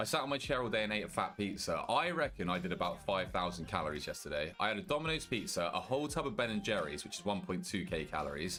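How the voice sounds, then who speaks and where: With hardly any pauses, a man races along at a very fast pace and a medium pitch, his pitch swinging very widely while room echo is audible. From Britain. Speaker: gaming streamer. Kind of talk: casual live-stream chat. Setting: home streaming setup with headset. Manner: casual, chatty.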